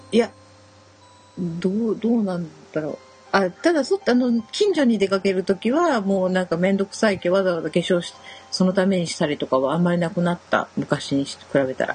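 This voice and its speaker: Her pitch medium and her intonation lively, a woman talks at a moderate pace over noticeable background noise. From Shimane, western Japan. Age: 40s. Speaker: podcast co-host. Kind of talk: casual chat.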